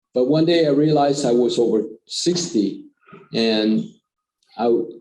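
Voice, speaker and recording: A man with a fairly high voice and a dark, mellow tone speaks at a moderate pace with lively intonation and very even loudness, with audible room echo around him. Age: 60s. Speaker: business executive and investor. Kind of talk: forum interview.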